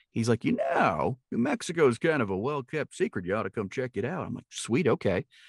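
A man with an American accent at a fairly quick pace and medium pitch, with very wide pitch swings, a very clean recording on a silent background and a dry, close sound with no echo. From Milwaukee, Wisconsin. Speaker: actor and voice actor. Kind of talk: casual interview chat.

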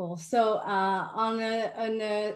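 A woman speaks with an American accent. Her tone is enthusiastic. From New York. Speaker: live talk series host. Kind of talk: live online talk, interview. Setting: video call with online audience. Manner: enthusiastic, hesitant with fillers.

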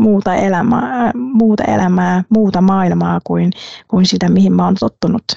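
A woman with a Vietnamese accent speaks at a very slow pace. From Vietnam, coastal city. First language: Vietnamese (speaking Finnish). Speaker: management consultant. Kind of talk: interview. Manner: hesitant, with fillers.

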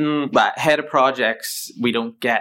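A man speaks in a Northern Irish accent. The recording is very clean, with a silent background. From Northern Ireland (County Down). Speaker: facilities management project lead. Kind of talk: interview.

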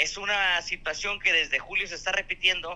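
A man's bright, sharp tone comes at a moderate pace with ordinary pitch variation. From Mexico. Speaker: truck driver and clown. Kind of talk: casual chat.

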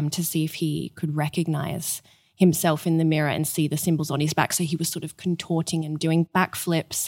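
The recording is very clean, with a silent background. A woman with an Australian accent speaks at a moderate pace in a fairly low pitch. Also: dry, close sound with no echo. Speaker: museum curator. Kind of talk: interview intro, explanatory chat.

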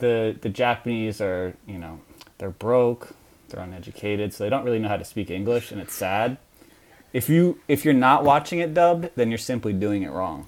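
A man with an American accent speaks in a plain, everyday voice at a medium pitch and a moderate pace. His intonation is lively, with big swings in loudness. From Long Island, New York. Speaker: anime fan. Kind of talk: comedic mock interview.

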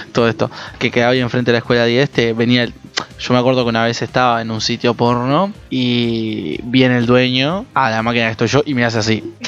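With music in the background, a man of medium pitch speaks very fast with fairly even intonation. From Uruguay. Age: 20s. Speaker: podcast host. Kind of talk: casual chat.

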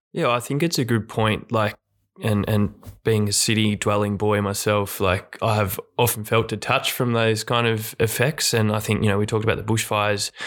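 With an Australian accent, a man speaks at a moderate pace in a fairly low pitch, his intonation fairly even and his loudness very even. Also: very clean recording, silent background. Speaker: retired footballer. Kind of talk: casual chat. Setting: studio.

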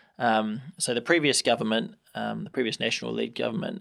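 A man with a New Zealand accent and vocal fry, at a moderate pace, on a very clean recording with a silent background. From New Zealand, Hamilton. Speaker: member of parliament. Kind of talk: interview. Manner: halting, many repetitions and fillers.

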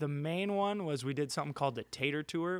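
Dry and close with no echo, a man's unremarkable speaking voice moves at a fairly quick pace with ordinary pitch variation. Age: 30s. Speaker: pro scooter rider. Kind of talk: casual chat. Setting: studio.

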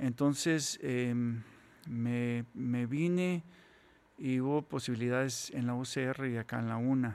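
On a very clean recording with a silent background, a man talks at a very slow pace, his medium pitch showing ordinary variation. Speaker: composer. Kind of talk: interview conversation. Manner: halting, many fillers.

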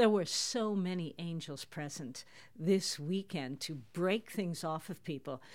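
A woman with an unremarkable speaking voice talks at a fairly slow pace, fairly low in pitch with ordinary pitch variation. The recording is very clean, with a silent background. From Toronto, Canada. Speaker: prophetic minister. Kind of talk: interview.

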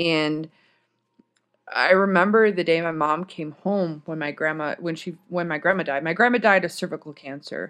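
In an American accent, a normal speaking voice moves at a fairly slow pace against a quiet background. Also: woman. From US Midwest, Michigan (Durand). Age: 30s. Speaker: army chaplain assistant. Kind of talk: storytelling. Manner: casual, rambling with fillers.

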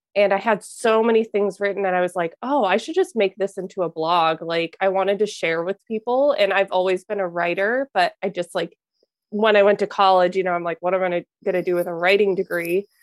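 A woman with an American accent and a plain, everyday voice, medium pitch, fairly even intonation, and a fairly quick pace, in a dry, close sound with no echo. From US Midwest, Minnesota. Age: 20s. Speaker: mentor for highly sensitive people. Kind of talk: casual interview chat.

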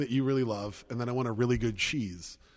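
This man has a medium-pitched voice with an American accent and talks fairly quickly. The recording is very clean, with a silent background. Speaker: podcast host and arena announcer. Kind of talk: casual chat over drinks. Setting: large hall with stage. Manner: animated.

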